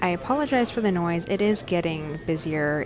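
A woman with a fairly low voice can be heard through noticeable background noise. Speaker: vlogger. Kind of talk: casual vlog chat. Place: cafe. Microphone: earbuds.

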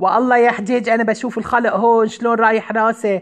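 Someone with an Aleppo accent speaks at a fairly quick pace. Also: woman. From Aleppo, Syria. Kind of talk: comic phone-call sketch.

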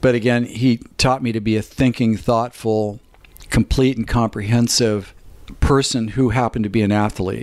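Speaking at a moderate pace, a man uses a medium pitch and a monotone, flat intonation. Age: 60s. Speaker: performance coach and chiropractor. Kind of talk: podcast interview.

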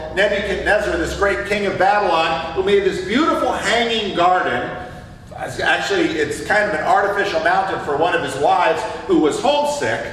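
A man's voice with very wide pitch swings at a moderate pace, with light background noise and audible room echo. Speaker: preacher or Sunday school teacher. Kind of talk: sermon. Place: church.

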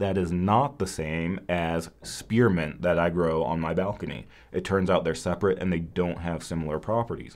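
A man's very deep, low voice, with hardly any pauses. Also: ordinary pitch variation, moderate pace. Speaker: Chinese medicine educator. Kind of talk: live-stream Q&A. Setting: live stream from home. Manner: casual, chatty. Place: studio.

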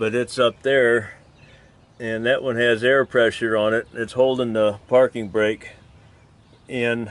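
A man's fairly slow, monotone delivery with flat intonation and a dry sound with no echo. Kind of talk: tutorial. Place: open country.

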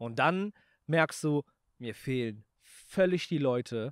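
This man's intonation is lively. The sound is dry with no echo, and the background is quiet. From Germany, Aachen; Germany. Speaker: YouTuber and snack entrepreneur; YouTuber. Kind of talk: casual chat. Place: garden. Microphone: handheld.

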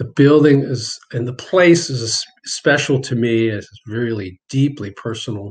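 Somewhat breathy, a man talks at a very slow pace with ordinary pitch variation. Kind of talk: interview answer. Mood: reflective, personal. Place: home room. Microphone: webcam.

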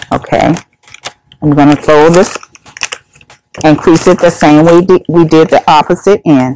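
A woman speaks at a moderate pace in a very deep, low pitch, leaving long, frequent pauses. The sound is dry with no echo, over light background noise. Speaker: senior center coordinator. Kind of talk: tutorial. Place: meeting room.

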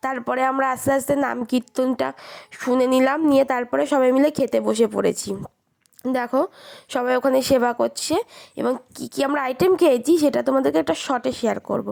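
Her pitch is high. A woman speaks with ordinary pitch variation. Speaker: lifestyle vlogger. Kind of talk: vlog narration.

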